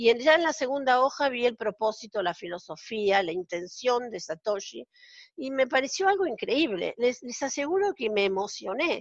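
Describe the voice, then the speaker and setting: A woman speaks at a high pitch with very wide pitch swings and a moderate pace. The sound is dry and close with no echo, against a quiet background. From Argentina. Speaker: accountant. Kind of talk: casual interview.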